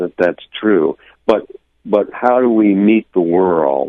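A man's voice, an ordinary speaking voice with ordinary pitch variation. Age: 60s. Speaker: poet and spiritual teacher. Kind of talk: radio interview. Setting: phone call.

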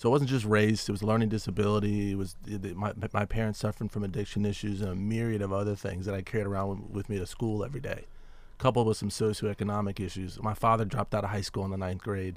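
A man's fairly low, monotone, flat delivery at a very fast pace, with an American accent. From Washington, D.C. area. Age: 40s. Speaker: diversity consultant. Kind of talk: radio interview. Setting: studio.

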